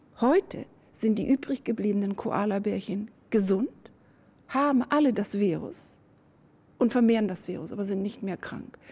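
Somewhat breathy and dark, mellow in tone, a woman with fairly high pitch and ordinary pitch variation speaks at a moderate pace with long, frequent pauses. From northern Germany. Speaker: virologist. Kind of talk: interview.

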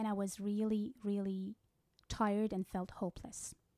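A woman at a fairly slow pace, on a very clean recording with a silent background and a dry, close sound with no echo. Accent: Persian. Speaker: psychic medium. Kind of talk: casual interview about her work.

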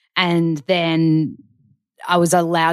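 Her pitch is very deep and low. This woman is heard on a very clean recording with a silent background. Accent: Australian. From Australia. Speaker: wellness expert, author and actor. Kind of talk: casual chat. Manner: animated.

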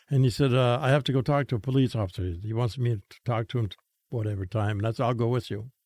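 Somewhat breathy speech runs at a very fast pace with ordinary pitch variation, in a very clean recording with a silent background and a dry, close sound with no echo. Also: man, medium pitch for a man. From Saskatchewan, Canada. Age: 80s. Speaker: former priest and chaplain who helps gang members leave gangs. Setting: studio.

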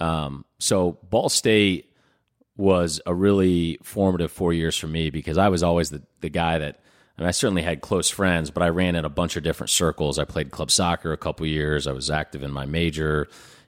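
On a very clean recording with a silent background and a dry, close sound with no echo, a man with a very deep, low pitch speaks in an American accent at a moderate pace with fairly even intonation. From Indianapolis, Indiana. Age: 30s. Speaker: nonprofit leader. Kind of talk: interview.

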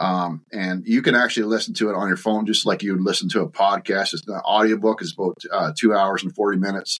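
A man with an Ontario accent, fairly low in pitch, at a fairly quick pace. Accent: Canadian (Ontario). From Ontario, Canada (Bobcaygeon). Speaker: farm succession author and consultant. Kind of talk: casual interview. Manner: halting, many fillers.

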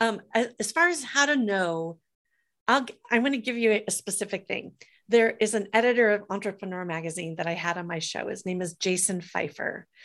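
In a very clean recording with a silent background, a woman talks fairly quickly at a medium pitch. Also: lively intonation. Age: 50s. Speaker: entrepreneur, author and podcast host. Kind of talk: interview. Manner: talkative.

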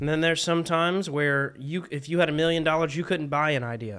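A man's fairly high, bright, sharp voice with a Southern US accent, at a fairly quick pace with ordinary pitch variation, on a very clean recording with a silent background. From South Carolina. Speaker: country singer. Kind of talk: casual chat. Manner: animated.

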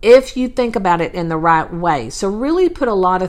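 This is a woman with an American accent. Her pitch varies in an ordinary way. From Texas. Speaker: podcast host, real estate virtual assistant. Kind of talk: solo podcast monologue, advice talk. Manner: casual, with frequent fillers.

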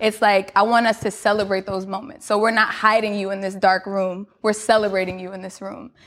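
With an ordinary speaking voice, a woman talks at a fairly quick pace with hardly any pauses, a medium pitch and fairly even intonation. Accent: American. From New York, Queens. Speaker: fitness studio founder. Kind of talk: interview.

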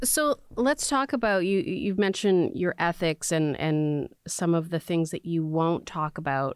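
A woman with an unremarkable speaking voice and a fairly low pitch talks at a fairly slow pace with hardly any pauses, lively intonation and very even loudness, in a dry, close sound with no echo. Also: very clean recording, silent background. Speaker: radio host. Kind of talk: interview. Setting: studio.

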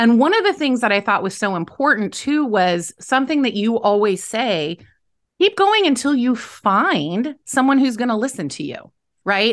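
The speech moves at a moderate pace with lively intonation. The background is quiet. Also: woman. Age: 50s. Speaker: podcast host, leadership coach. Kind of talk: interview. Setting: video call. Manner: animated.

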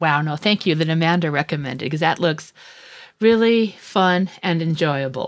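A woman with an American accent has a plain, everyday voice, fairly low in pitch, with lively intonation at a moderate pace. The recording is very clean, with a silent background. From US rural West. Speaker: legal journalist. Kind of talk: casual chat.

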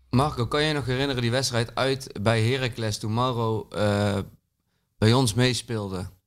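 Fairly even intonation in an ordinary speaking voice, moderately paced, on a very clean recording with a silent background. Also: man, medium pitch for a man. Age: 30s. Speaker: artist, PSV supporter. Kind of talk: casual chat.

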